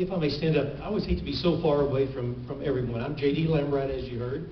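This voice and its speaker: A man with a Texan accent at a very fast pace, fairly high-pitched and fairly even in intonation, with audible room echo and noticeable background noise. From Texas Panhandle. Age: 60s. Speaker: political candidate, lawyer. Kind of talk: campaign speech at candidate forum. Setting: forum with live audience.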